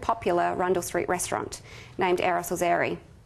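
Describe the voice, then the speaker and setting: Speaking with an Australian accent is a woman. Her pace is moderate. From South Australia. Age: 30s. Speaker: charity marketing manager; guest. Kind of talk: guest lecture. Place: hall. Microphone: podium.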